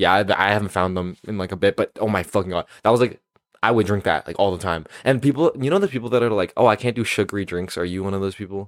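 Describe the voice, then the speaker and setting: This man speaks at a very fast pace in a fairly low pitch, with ordinary pitch variation. The sound is dry and close, with no echo. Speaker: podcast co-host. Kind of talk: casual chat.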